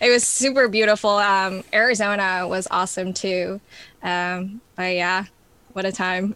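With an American accent and a bright, sharp tone, a woman speaks at a fairly slow pace with fairly even intonation. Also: medium pitch for a woman. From New York. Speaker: music therapist. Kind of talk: casual interview.

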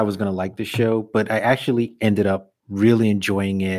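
On a very clean recording with a silent background, a man with a fairly low pitch speaks at a moderate pace. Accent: New York. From Brooklyn, New York. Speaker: podcast host. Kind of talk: casual interview.

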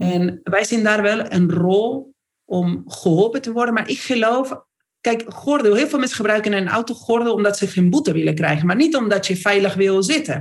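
Lively intonation and a moderate pace, with an Argentine accent. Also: woman, medium pitch for a woman. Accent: Argentine Spanish accent in Dutch. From Argentina. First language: Spanish (speaking Dutch). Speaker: company CEO. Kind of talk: interview. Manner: animated.

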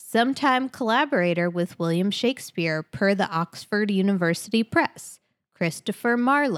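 In a very clean recording with a silent background and a dry, close sound with no echo, a woman talks at a moderate pace and medium pitch in an ordinary speaking voice. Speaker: podcast host. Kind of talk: casual chat.

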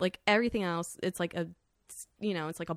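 Vocal fry marks this speaker with an American accent and ordinary pitch variation, heard in a very clean recording with a silent background. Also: woman. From US, South Florida. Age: 20s. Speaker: art world worker, podcast guest. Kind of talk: casual chat. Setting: studio.

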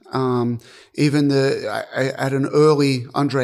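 This is a very clean recording with a silent background. A man speaks with an Australian accent. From Australia (Albury, NSW). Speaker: tennis strategy analyst and coach. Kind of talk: interview.

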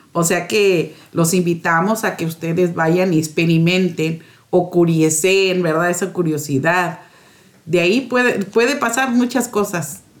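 Her pitch is fairly low, with ordinary variation. The woman talks at a fairly slow pace. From Morelos, Mexico. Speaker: parish community secretary, guest. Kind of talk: radio interview.

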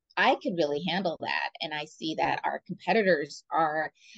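A woman with an American accent speaks at a moderate pace with ordinary pitch variation. The sound is dry and close, with no echo. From San Francisco, US West Coast. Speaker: business development director. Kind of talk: casual interview chat.

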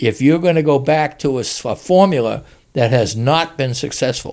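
In a very clean recording with a silent background, a man with an American accent and a plain, everyday voice speaks at a moderate pace with lively intonation. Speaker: basketball writer. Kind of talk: casual chat. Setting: studio.

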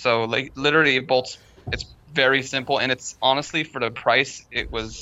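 Fairly even in intonation, an ordinary speaking voice proceeds at a moderate pace. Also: man. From Long Beach, California. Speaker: fabricator and amateur drifter. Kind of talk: casual chat.

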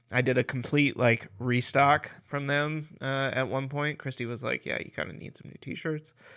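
In a very clean recording with a silent background, a man with a bright, sharp tone speaks at medium pitch and a moderate pace, with hardly any pauses, fairly even intonation and big swings in loudness. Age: 30s. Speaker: podcast co-host. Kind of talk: casual chat.

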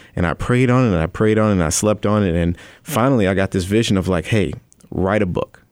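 Speaking very fast with an American accent, a man with a fairly low pitch keeps his loudness very even and his pitch variation ordinary, recorded very cleanly against a silent background. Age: 30s. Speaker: nonprofit founder and author. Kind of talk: radio interview. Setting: radio studio.

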